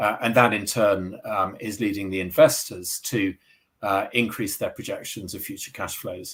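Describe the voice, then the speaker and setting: In a British accent, a man speaks at a moderate pace and fairly low pitch. His intonation is fairly even, though his loudness swings widely. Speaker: sustainability executive, accountant. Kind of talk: interview. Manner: halting, many fillers and repetitions.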